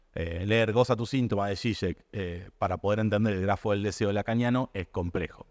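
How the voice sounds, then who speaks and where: A man with an Argentine accent talks at a fairly quick pace and fairly low pitch with ordinary pitch variation, the sound dry and close with no echo against a quiet background. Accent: Rioplatense Argentine Spanish. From Argentina. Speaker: publisher. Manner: fast.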